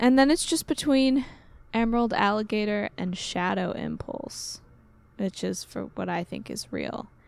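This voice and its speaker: This woman, with an American accent, is soft-spoken, and her loudness swings widely. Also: fairly slow pace, very clean recording, silent background. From US. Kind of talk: casual chat.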